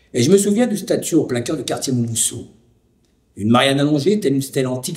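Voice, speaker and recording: A man's fairly high, somewhat breathy voice moves quickly with lively intonation. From France, Lyon (Vénissieux suburbs). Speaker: documentary narrator and witness. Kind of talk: scripted narration. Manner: formal.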